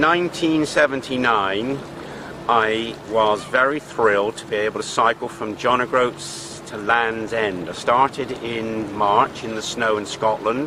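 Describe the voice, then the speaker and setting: This man speaks with an English accent at a moderate pace, his pitch medium with ordinary variation. Noticeable background noise can be heard. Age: 60s. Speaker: fitness enthusiast. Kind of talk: personal reflection to camera. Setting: outdoors by a swimming pool.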